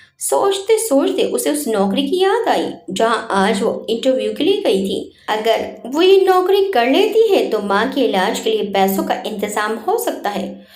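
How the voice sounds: Strong room echo surrounds a woman's fairly high voice with a slightly mellow tone. She moves at a fairly slow pace with big pitch swings.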